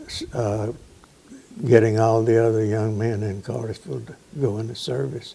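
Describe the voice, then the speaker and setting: With a Southern US accent, a man speaks in fairly even intonation, taking long, frequent pauses while his loudness swings widely. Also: medium pitch for a man, moderate pace. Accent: Southern US (Georgia). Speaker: interviewee recalling family history. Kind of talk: oral history interview. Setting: at home.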